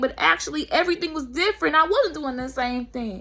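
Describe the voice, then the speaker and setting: A woman talks with lively intonation at a high pitch. Her tone is bright and sharp. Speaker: spiritual vlogger. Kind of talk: motivational monologue. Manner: stutter.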